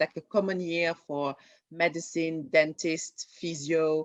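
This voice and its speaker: A woman with a French accent at a moderate pace. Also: dry, close sound with no echo. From France. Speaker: junior doctor and TV writer. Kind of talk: interview. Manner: halting, many fillers and repeats.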